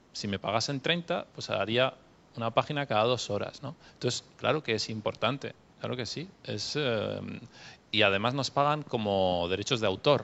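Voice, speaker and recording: A man's normal speaking voice at medium pitch, moderately paced, with ordinary variation in pitch. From Catalonia, Spain. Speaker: novelist and translator. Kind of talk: panel discussion Q&A.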